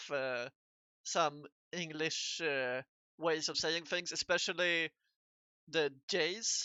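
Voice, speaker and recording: Someone speaks at a very slow pace with a Swedish accent. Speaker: streamer and artist. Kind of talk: casual chat. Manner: halting.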